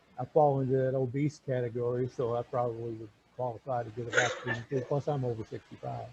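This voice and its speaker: Over noticeable background noise, a man talks very fast in a medium pitch with monotone, flat intonation. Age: 60s. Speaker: Bible study group facilitator. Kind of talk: casual group chat. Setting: video call. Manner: halting.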